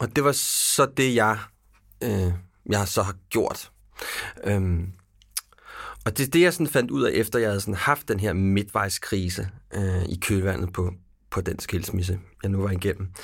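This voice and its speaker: On a very clean recording with a silent background, a man talks at a fairly low pitch with ordinary pitch variation. He moves at a fairly slow pace, with long, frequent pauses. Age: 40s. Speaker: podcast host. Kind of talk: interview conversation.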